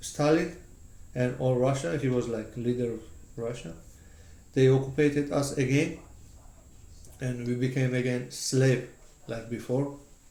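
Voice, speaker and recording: Speaking with a Georgian accent, a man of medium pitch talks at a fairly slow pace with long, frequent pauses. His tone is dark and mellow, his intonation fairly even, with audible room echo. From Georgia (country). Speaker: interviewee. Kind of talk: casual chat. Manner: halting.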